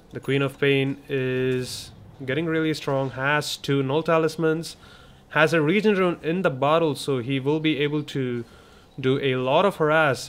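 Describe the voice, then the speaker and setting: Speaking with a non-native accent, a man keeps a fairly slow pace, a fairly high pitch and fairly even intonation. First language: not English. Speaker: esports commentator. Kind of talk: live commentary.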